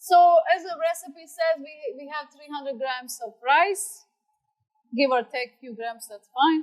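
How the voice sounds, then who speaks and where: A woman speaks with a high pitch and ordinary pitch variation. Her loudness swings widely. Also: fairly slow pace. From Croatia, Adriatic coast city. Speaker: home cook. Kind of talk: cooking demonstration.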